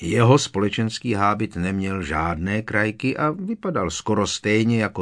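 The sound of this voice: The voice is an unforced reading voice. It reads through the clip this way.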